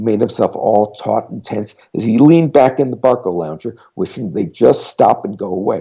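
Lively intonation in a natural voice reading aloud

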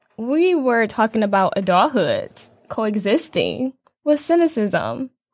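A woman with an American accent, fairly slow pace and very wide pitch swings. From Detroit, Michigan. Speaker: podcast co-host. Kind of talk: casual chat.

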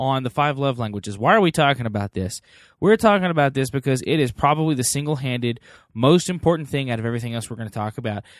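Talking at a very fast pace with lively intonation and an American accent, a man speaks at medium pitch in a very clean recording with a silent background and a dry, close sound with no echo. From Texas. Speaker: podcast host. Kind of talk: casual chat.

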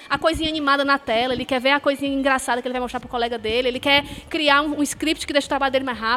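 Over noticeable background noise, a woman with a high pitch speaks in a raised, projected voice at a very fast pace. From Fortaleza, Ceará, Brazil. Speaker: university professor. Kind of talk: casual chat. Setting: stage with audience.

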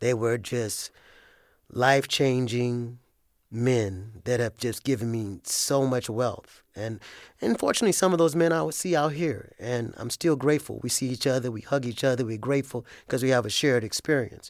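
A man speaks in a normal speaking voice at a medium pitch with ordinary pitch variation and a moderate pace. The recording is very clean, the background silent. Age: 50s. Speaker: ex-prisoner. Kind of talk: interview.

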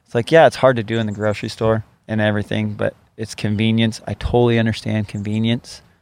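A man with an American accent talks at a very fast pace. His intonation is monotone and flat. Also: fairly low pitch for a man. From Washington state, US. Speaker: butcher. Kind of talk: interview. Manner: loud.

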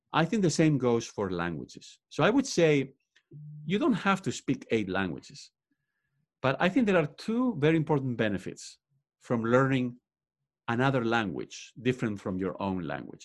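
A man at a medium pitch with a Spanish accent, very wide pitch swings, a moderate pace and a quiet background. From Spain. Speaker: professor and author. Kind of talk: interview. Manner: frequent fillers like uh, um.

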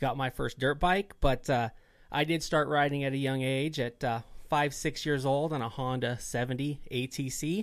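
On a very clean recording with a silent background, a man uses a normal speaking voice at a medium pitch and a moderate pace. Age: 30s. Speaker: dirt bike rider. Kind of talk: casual chat.

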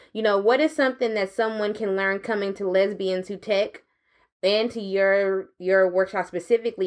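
A woman talks at a moderate pace in a plain, everyday voice, her medium pitch and fairly even intonation set against a quiet background. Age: 30s. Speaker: podcast host. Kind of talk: interview conversation. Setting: live at a tech summit.

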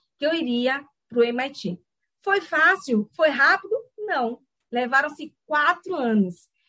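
In a dry, close recording with no echo, a woman with a high pitch and a bright, sharp tone projects a raised voice at a very slow pace, with very wide pitch swings and long, frequent pauses. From Brazil, Salvador, Bahia. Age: 30s. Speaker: business school academic. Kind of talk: lecture. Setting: video call.

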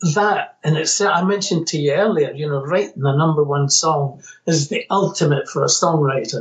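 A man speaks with a Scottish accent. He keeps a moderate pace at a fairly high pitch. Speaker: musician. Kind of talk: interview.

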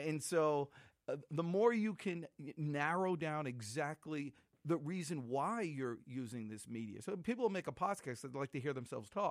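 In a very clean recording with a silent background, a man with a normal speaking voice talks at a moderate pace, his fairly high pitch carried by lively intonation. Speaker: sales trainer and author. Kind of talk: casual interview chat.

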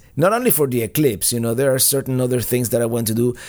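With a Spanish accent, a man talks at medium pitch with ordinary pitch variation. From Cuba. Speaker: podcast host and RV vlogger. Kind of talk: live Q&A podcast, casual chat. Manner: casual, chatty, halting with many fillers.

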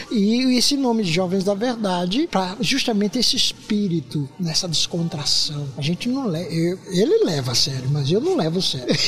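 A man's high-pitched voice with very wide pitch swings, very even loudness, hardly any pauses and a moderate pace, over music in the background. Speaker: missionary and mission founder. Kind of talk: casual interview chat. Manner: animated, laughing.

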